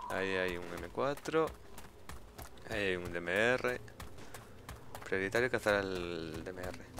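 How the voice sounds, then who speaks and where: Very deep and low in pitch, a man speaks very slowly with long, frequent pauses. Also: lively intonation. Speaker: gaming youtuber. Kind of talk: gameplay commentary. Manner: quiet, focused at times.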